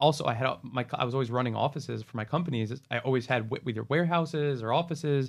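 A man with an American accent at a very fast pace, hardly any pauses. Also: medium pitch for a man, ordinary pitch variation. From New Jersey. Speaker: marketing agency founder. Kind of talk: casual chat.

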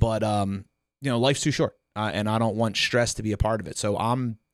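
A Philadelphia accent at a moderate pace, with fairly even intonation, on a very clean recording with a silent background. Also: man. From Delaware County, Pennsylvania (Philadelphia area). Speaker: DJ and event business co-owner. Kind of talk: casual chat.

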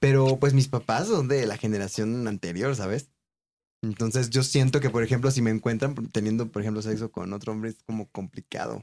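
With a dark, mellow tone and a medium pitch, a man speaks at a fairly quick pace with fairly even intonation. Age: 30s. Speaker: stand-up comedian. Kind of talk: casual chat.

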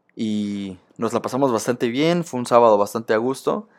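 In a very clean recording with a silent background, a man speaks at a moderate pace with medium pitch and ordinary pitch variation. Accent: Mexican. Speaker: sports podcaster. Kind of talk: casual monologue.

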